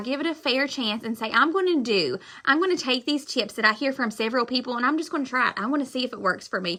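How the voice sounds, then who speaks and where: Loud and high-pitched, a woman speaks with ordinary pitch variation. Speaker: direct sales consultant. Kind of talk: live stream motivational talk. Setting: live stream.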